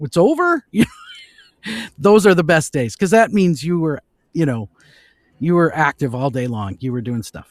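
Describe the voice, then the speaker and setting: A man speaks with an American accent in a fairly high pitch. His pitch swings very widely, and his loudness swings a lot. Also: moderate pace, dry, close sound with no echo. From Minnesota. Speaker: voice actor. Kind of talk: interview answer. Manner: casual, chatty.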